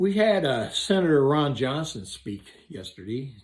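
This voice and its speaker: A man speaks at a moderate pace, sounding somewhat breathy. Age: 70s. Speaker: electrician and vlogger. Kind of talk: opinion monologue. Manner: animated.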